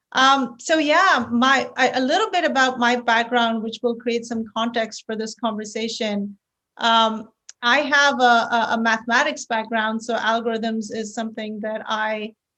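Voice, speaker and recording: In an Indian accent, a woman with a fairly high pitch and a bright, sharp tone speaks at a moderate pace with fairly even intonation against a quiet background. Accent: Indian accent, noticeable. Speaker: tech company founder and CEO. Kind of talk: podcast interview.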